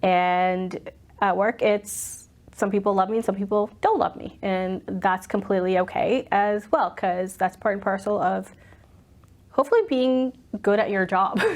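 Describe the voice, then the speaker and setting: With an American accent, a woman at a medium pitch talks at a moderate pace with fairly even intonation over noticeable background noise. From US Northeast, Boston. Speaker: commercial real estate executive. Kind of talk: interview, personal storytelling. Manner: loud, outspoken.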